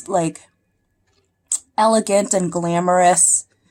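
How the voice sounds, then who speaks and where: A woman at a moderate pace, her intonation fairly even. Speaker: beauty vlogger and performer. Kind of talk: makeup tutorial.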